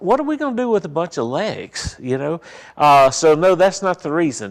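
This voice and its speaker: In a very clean recording with a silent background, a man with a Southern US accent speaks at a moderate pace. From US South, Mississippi. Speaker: funeral director and mortuary science instructor. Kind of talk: seminar talk.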